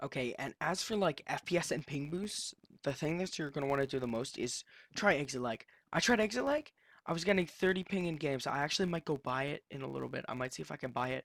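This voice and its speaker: Recorded very clean with a silent background and a dry, close sound with no echo, a man speaks at a very fast pace and a fairly high pitch. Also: lively intonation. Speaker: gaming youtuber. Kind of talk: casual unscripted tutorial. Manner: halting, stuttering; casual, filler-heavy.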